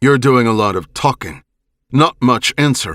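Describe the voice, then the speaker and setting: A man's put-on character voice, growling and medium in pitch, with lively intonation at a moderate pace and a dry, close sound with no echo. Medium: read story. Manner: suspicious, blunt.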